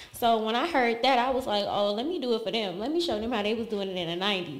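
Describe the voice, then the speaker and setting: With a Southern US accent, the speaker talks at a fairly quick pace with lively intonation. Music plays in the background. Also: woman. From US South (Alabama). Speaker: model and dancer. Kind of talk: casual interview.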